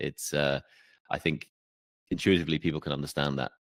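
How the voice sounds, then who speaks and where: Dry and close with no echo, a man with a very deep, low pitch and vocal fry speaks at a fairly quick pace with an English accent. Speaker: podcast host. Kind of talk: podcast interview questions.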